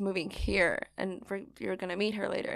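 A woman with a Californian accent, a bright, sharp tone, monotone, flat intonation and a moderate pace. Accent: general American, Californian. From San Francisco Bay Area, US. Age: 20s. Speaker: podcast host. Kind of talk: casual chat.

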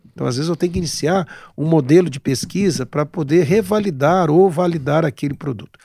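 In a very clean recording with a silent background, an unremarkable speaking voice moves at a fairly quick pace with lively intonation. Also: man, dry, close sound with no echo. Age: 60s. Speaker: gynecologist. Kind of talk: casual interview.

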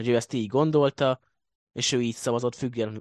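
In an ordinary speaking voice, a man talks at a fairly quick pace and medium pitch with fairly even intonation, the sound dry and close with no echo. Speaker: football blog editor. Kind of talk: casual sports discussion.

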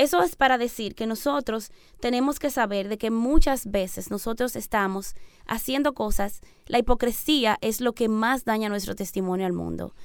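A woman with an unremarkable speaking voice talks at a moderate pace and a fairly high pitch, with ordinary pitch variation. The recording is very clean, with a silent background. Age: 30s. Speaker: missionary. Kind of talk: radio interview. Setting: radio studio.

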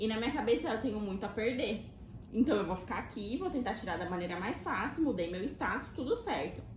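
A woman with a fairly high pitch and lively intonation is heard with audible room echo and noticeable background noise. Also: fairly quick pace. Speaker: Brazilian immigrant, physiotherapy graduate. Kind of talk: casual chat.

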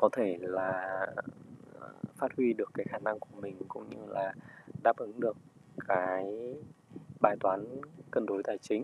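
A man talks at a very slow pace, his loudness swinging widely. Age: 30s. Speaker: restaurant owner. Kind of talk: personal reflection and book reading. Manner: halting.

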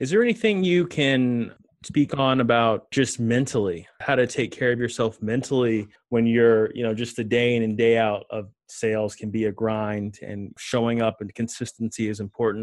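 Against a quiet background, a man with an unremarkable speaking voice speaks at a moderate pace and medium pitch with fairly even intonation. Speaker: podcast host. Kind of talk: interview.

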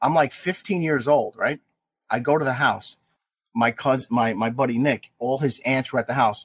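The sound is dry and close, with no echo. A man with an American accent speaks at a moderate pace with ordinary pitch variation. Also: medium pitch for a man, very even loudness. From New Jersey, Jersey City. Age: 50s. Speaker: salesman. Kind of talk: casual chat. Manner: animated.

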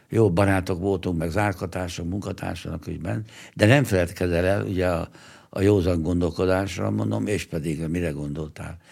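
Moving at a moderate pace, a man with a very deep, low pitch and vocal fry uses lively intonation on a very clean recording with a silent background. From Hungary, Pomáz near Budapest. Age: 80s+. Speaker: 1956 revolution veteran. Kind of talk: testimony. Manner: halting, with many repetitions.

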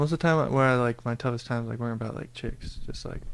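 A man speaks with an American accent. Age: 20s. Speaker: engineering student. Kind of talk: casual chat.

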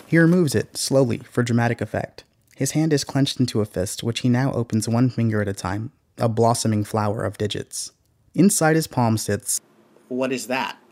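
A man with an unremarkable speaking voice talks at a fairly quick pace, medium in pitch with ordinary variation. The recording is very clean and dry, close with no echo and a silent background. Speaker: podcast narrator and investigator. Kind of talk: scripted dramatic narration of a true-crime style story.

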